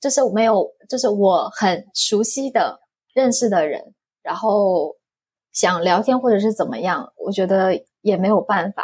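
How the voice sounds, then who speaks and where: A woman with a Korean accent speaks at a very slow pace. Her pitch is fairly high, with ordinary pitch variation. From South Korea. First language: Korean (speaking Chinese). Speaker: foreign spouse and online reseller. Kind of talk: casual interview.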